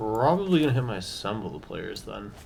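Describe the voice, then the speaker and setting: At a moderate pace and with ordinary pitch variation, a man speaks amid audible room echo and noticeable background noise. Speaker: gaming content creator. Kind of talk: gameplay commentary. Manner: casual, with fillers.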